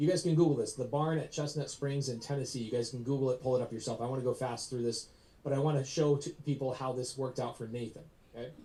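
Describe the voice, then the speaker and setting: A man of medium pitch talks at a very fast pace, somewhat breathy, in a dark, mellow tone. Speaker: real estate investor and coach. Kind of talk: live presentation to audience. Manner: animated.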